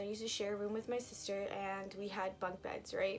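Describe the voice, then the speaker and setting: A woman speaks at a moderate pace. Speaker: storytime vlogger. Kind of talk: storytime vlog. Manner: rambling, casual.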